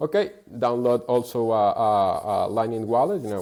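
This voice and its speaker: A voice with a dark, mellow tone speaks with a Spanish accent. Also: man. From Venezuela. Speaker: bitcoin merchant-adoption advocate. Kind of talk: podcast interview. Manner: halting, many repetitions.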